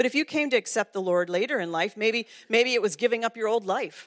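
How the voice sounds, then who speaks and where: Speaking with a Canadian accent in an unremarkable speaking voice, a woman talks fairly quickly at a fairly high pitch with lively intonation, in dry, close sound with no echo on a very clean recording with a silent background. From Ontario, Canada. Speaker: women's ministry director, guest speaker. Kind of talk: sermon. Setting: church.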